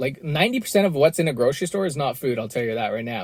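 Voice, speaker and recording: The speaker has a Canadian accent and a somewhat breathy voice. The pace is very fast, with lively intonation. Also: man. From western Canada. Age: 30s. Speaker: podcast host. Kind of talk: solo podcast monologue. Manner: casual with many repetitions and fillers.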